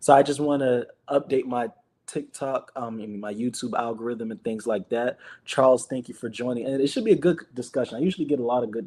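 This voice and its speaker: The tone is dark and mellow. The pace is moderate, with ordinary pitch variation. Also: man. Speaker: livestreamer leading Bible study. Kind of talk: casual livestream chat. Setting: livestream. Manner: casual, repetitive.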